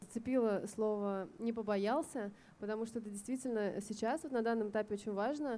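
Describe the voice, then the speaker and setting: Delivered at a fairly quick pace, the voice has a dark, mellow tone and fairly even intonation. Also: woman, fairly high pitch for a woman. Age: 30s. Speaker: fashion designer. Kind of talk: open panel discussion. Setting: live recording at a festival.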